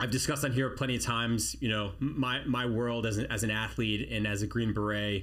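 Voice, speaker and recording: Amid audible room echo, a man at medium pitch talks at a fairly quick pace with hardly any pauses, fairly even intonation and very even loudness. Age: 40s. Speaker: army special forces veteran, podcast host. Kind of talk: casual chat. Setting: studio.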